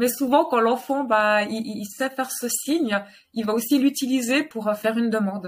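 A woman with an unremarkable speaking voice talks at a moderate pace, her fairly high pitch showing ordinary variation. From Geneva, Switzerland. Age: 30s. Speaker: sign language teacher and family centre owner. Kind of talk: interview.

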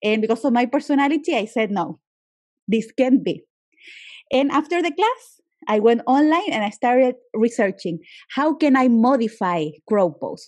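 Someone with a Spanish accent speaks at a moderate pace with lively intonation. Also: woman. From Chile. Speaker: yoga teacher and journalist. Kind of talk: interview.

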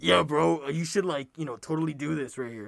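Using a put-on character voice, a man talks fairly quickly at a fairly high pitch. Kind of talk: casual slang. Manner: dumb, macho, over-the-top.

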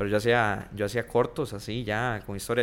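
In a Costa Rican accent, a man speaks at a medium pitch with fairly even intonation. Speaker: TikTok content creator. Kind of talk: casual chat.

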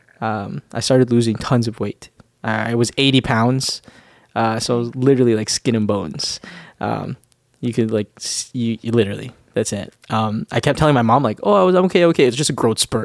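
A man with a plain, everyday voice talks at a fairly quick pace, medium in pitch with ordinary pitch variation. The recording is very clean, with a silent background and a dry, close sound with no echo. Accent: Canadian. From Canadian Prairies (Winnipeg, Manitoba). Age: 20s. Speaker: church teacher and podcast co-host. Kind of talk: casual chat. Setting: studio, seated on a couch.

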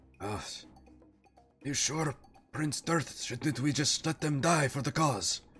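Using a put-on character voice, a man speaks at a fairly high pitch and a fairly slow pace. Long, frequent pauses break his lines as faint music plays in the background. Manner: hesitant, deferential, zealous.

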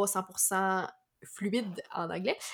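A woman's voice at a medium pitch. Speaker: podcast host. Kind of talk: interview conversation.

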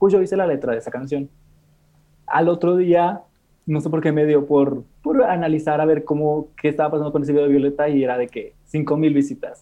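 Delivered at a fairly quick pace, it is an ordinary speaking voice with fairly even intonation. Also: man, fairly high pitch for a man. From Mexico, Monterrey. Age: 20s. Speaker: content creator. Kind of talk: interview.

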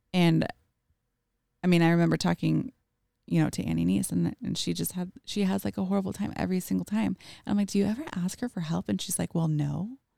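A woman at a very fast pace, with a dry, close sound and no echo. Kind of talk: personal storytelling.

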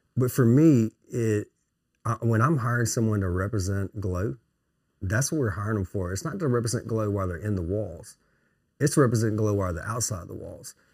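On a very clean recording with a silent background, a man with a fairly low, somewhat breathy voice talks at a fairly quick pace with ordinary pitch variation. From Louisiana, Melville (St. Landry Parish). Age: 40s. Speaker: recruitment agency CEO. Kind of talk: casual interview chat. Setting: on site at his office.

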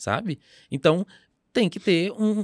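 The sound is dry and close, with no echo. It is a very clean recording with a silent background. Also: man. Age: 20s. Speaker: educator and pedagogue. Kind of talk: interview conversation.

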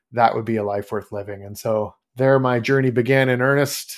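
A man with a Canadian accent at a very fast pace, monotone and flat, in a very clean recording with a silent background. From Canada. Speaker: fantasy author. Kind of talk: interview.

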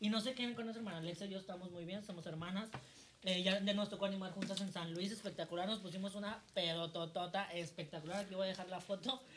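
Speech runs at a very fast pace over noticeable background noise. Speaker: drag performer and podcast co-host. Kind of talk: casual chat. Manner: animated.

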